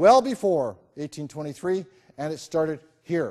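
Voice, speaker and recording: Lively in intonation, a man talks at a moderate pace with an American accent. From US Midwest region near Ohio. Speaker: lecturer on local history, Freemason. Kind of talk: lecture. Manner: animated.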